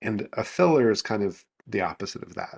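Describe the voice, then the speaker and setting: Recorded very cleanly against a silent background, with a dry, close sound and no echo, a man speaks at a moderate pace and medium pitch in an ordinary speaking voice. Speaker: vocal presence coach. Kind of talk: interview answer.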